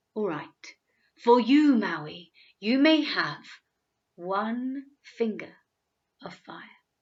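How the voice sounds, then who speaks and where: A woman's put-on character voice, fairly high in pitch, very slow, broken by long, frequent pauses. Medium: read story. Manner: terse, imperious.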